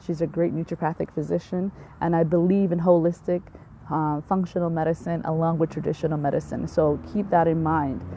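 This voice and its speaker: Spoken at a fairly quick pace with monotone, flat intonation, the voice carries a Somali accent. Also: woman, fairly low pitch for a woman. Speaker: physician. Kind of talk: live stream health talk. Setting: outdoors in backyard. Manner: hesitant, many fillers.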